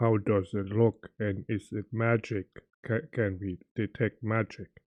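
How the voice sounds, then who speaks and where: A man's put-on character voice at a fairly low pitch. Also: fairly slow pace. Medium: actual play. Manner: broken, simple speech.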